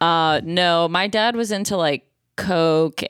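The voice shows ordinary pitch variation, recorded with a dry, close sound and no echo. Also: woman. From Buffalo, New York. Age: 30s. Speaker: comedian. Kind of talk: casual chat. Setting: remote call.

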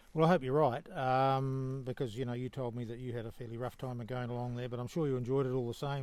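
In a New Zealand accent, a man talks at a very fast pace with hardly any pauses, his medium-pitched voice monotone and flat. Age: 70s. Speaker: long-distance hiker. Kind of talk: casual interview. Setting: trail hut with other hikers.

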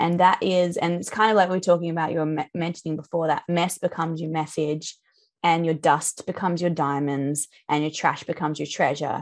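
In an Australian accent, a woman talks at a fairly quick pace with a fairly low pitch and fairly even intonation against a quiet background. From central Australia. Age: 30s. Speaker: musician and sound healing teacher. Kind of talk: casual interview chat. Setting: video call.

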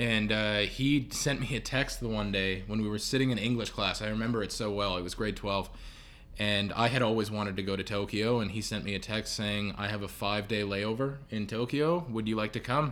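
A man with a Canadian accent talks at a fairly quick pace and a fairly low pitch. His intonation is fairly even, and audible room echo surrounds him. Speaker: podcast guest, roommate of host. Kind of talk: casual chat. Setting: at home.

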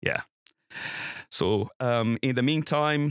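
A man with a Brazilian accent speaks in a bright, sharp tone with ordinary pitch variation, his voice dry and close with no echo on a very clean recording over a silent background. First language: Portuguese. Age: 40s. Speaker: church planter. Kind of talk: interview.

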